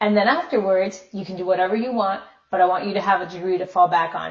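A woman is speaking. Her voice is somewhat breathy, with fairly even intonation. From Miami, Florida. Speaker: actress. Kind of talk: casual interview chat.

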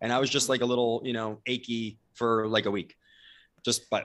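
Against a quiet background, a man with an American accent speaks at a moderate pace in a monotone, flat intonation. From New Jersey, US. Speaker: leadership company co-founder. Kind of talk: interview. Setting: video call.

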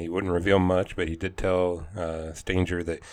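His pitch very deep and low, a man speaks with monotone, flat intonation in a very clean recording with a silent background. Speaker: podcast co-host. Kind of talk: casual banter. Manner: laid-back, dry.

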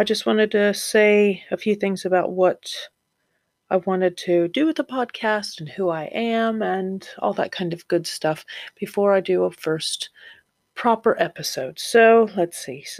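Over a silent background in a very clean recording, a woman with an American accent speaks at a fairly slow pace and a medium pitch. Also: ordinary pitch variation. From Florida, US. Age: 40s. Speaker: podcast host, new mother. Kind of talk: casual monologue. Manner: hesitant, many fillers. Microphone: new home microphone.

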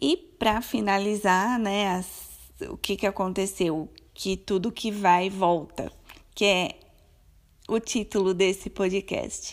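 Very slow speech from a woman with fairly even intonation, on a very clean recording with a silent background. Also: medium pitch for a woman. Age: 30s. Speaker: podcaster. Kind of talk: personal storytelling monologue. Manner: casual, chatty.

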